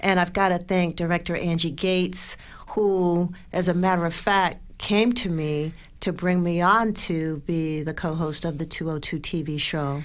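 Speaking at a fairly slow pace, a woman with a plain, everyday voice keeps a fairly low pitch and fairly even intonation. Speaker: radio host and media personality. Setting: studio.

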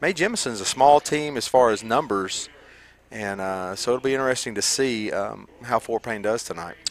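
With a Southern US accent, a man speaks at a moderate pace. His pitch is medium, with ordinary variation. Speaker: radio color commentator. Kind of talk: live sports commentary. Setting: stadium press box.

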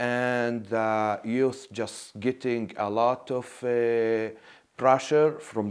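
Against a quiet background, a man with an Arabic accent talks at a very slow pace and a medium pitch. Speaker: nonprofit co-founder. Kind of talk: interview.

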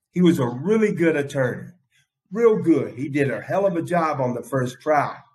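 Here a man with an American accent speaks in a high pitch with ordinary pitch variation. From US South, South Carolina (Aiken County). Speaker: state hospital detainee telling his life story. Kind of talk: personal testimony.

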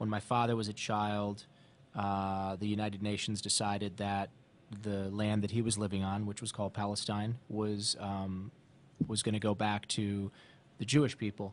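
A man with an American accent talks at a moderate pace in a fairly low pitch. His intonation is flat and monotone, and the background is quiet. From Ohio, US Midwest. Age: 40s. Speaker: author and wellness entrepreneur. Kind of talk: interview, personal life story.

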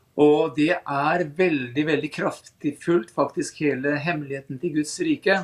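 A man has an unremarkable speaking voice, pitched fairly high. His intonation is fairly even and his pace fairly slow. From Lillehammer, eastern Norway. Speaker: nature programme presenter. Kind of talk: radio interview.

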